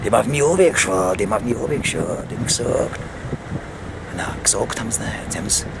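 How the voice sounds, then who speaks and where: Someone speaks in a Viennese accent over noticeable background noise. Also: man. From Vienna. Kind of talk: casual talk to camera. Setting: outdoors. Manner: rambling, slightly tipsy.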